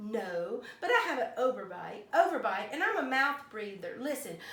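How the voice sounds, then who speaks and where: A put-on character voice at a moderate pace with slight echo. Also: woman, high pitch for a woman. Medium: read story. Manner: polite, mild.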